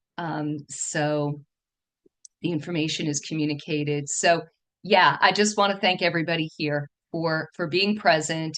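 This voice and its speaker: A woman with a New York accent, very deep and low in pitch, with fairly even intonation. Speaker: feng shui teacher and dowser. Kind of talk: online presentation talk. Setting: video call. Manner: trying to speak slower.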